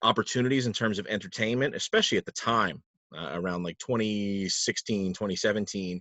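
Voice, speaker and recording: A man with an American accent speaks at a fairly quick pace, in a fairly low pitch. His is an unremarkable speaking voice with ordinary pitch variation. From Palm Coast, Florida. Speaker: trivia host and announcer (guest). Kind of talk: casual interview answer, conversational storytelling.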